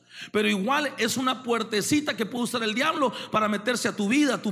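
A man's extremely high, raised, projected voice, animated in tone, at a fairly quick pace with ordinary pitch variation. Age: 30s. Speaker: pastor. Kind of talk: sermon.

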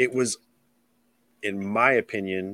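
Here a man with a Midwestern accent talks at a very slow pace, his pitch fairly low and intonation fairly even. The sound is dry and close, with no echo. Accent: general Midwestern American. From US Midwest, Illinois. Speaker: reptile keeper and podcast host. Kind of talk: casual chat. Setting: remote call.

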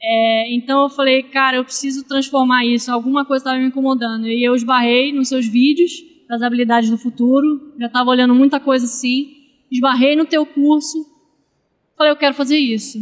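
At a fairly quick pace, a woman speaks in a high pitch with monotone, flat intonation. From Rio de Janeiro, Brazil. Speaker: physical trainer. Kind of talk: casual interview chat.

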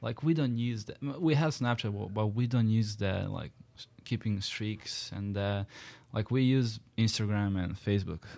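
A man's fairly low, dark and mellow voice with a Serbian accent, at a moderate pace with ordinary pitch variation, on a very clean recording with a silent background. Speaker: international college student. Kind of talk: casual chat.

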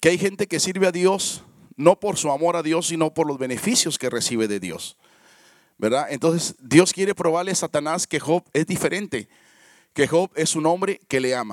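Speaking at a moderate pace with a plain, everyday voice, a man uses a fairly high pitch and lively intonation, in a dry, close recording with no echo that is very clean, over a silent background. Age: 50s. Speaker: pastor. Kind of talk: sermon.

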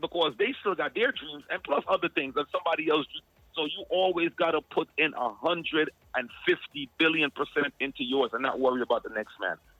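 A man with a slight Jamaican accent, fairly high pitch and lively intonation. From Guyana and Jamaica. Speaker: music artist and event promoter. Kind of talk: casual interview. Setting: phone call.

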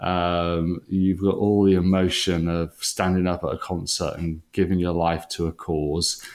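A man's very deep, low voice in a Welsh accent, monotone and flat, at a fairly slow pace with hardly any pauses, on a very clean recording with a silent background. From Wales. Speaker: leadership organisation founder. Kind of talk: interview.

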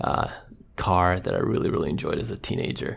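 A man with a Croatian accent. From Croatia, then South Dakota from age 12. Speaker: pathologist. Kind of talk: interview. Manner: hesitant, many fillers.

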